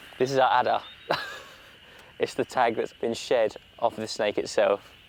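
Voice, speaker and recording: A man with a British accent at a moderate pace, a dry, close sound with no echo, and noticeable background noise. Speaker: wildlife TV presenter. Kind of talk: on-location presenting. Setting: outdoors.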